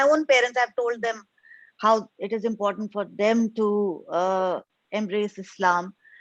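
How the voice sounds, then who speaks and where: Against a quiet background, a woman speaks at a fairly high pitch. She keeps a moderate pace and fairly even intonation. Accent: Indian. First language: Hindi. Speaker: convert sharing testimony. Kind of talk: testimony.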